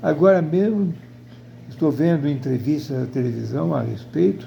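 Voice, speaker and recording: A somewhat breathy man speaks at a fairly slow pace with very wide pitch swings. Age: 80s+. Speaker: video blogger. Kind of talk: personal opinion monologue. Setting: at home in front of television. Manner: halting.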